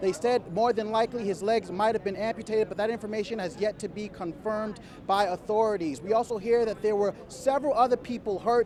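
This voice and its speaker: Noticeable background noise accompanies a man with an American accent and high pitch who talks at a very fast pace with ordinary pitch variation. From New York City. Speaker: television news reporter. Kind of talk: TV news report. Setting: outdoors.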